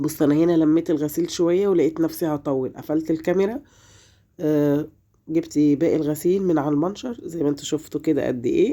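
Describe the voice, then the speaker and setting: A woman's very deep, low voice at a moderate pace, very even in loudness, against a quiet background. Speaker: home vlogger, mother. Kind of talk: casual vlog narration. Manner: halting, with fillers.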